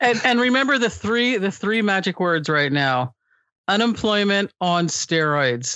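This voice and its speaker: Her tone animated and her pitch swings very wide, a woman of medium pitch speaks with an American accent and very even loudness. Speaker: guest, former radio worker. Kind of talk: casual chat. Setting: remote call during quarantine. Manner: animated, joking.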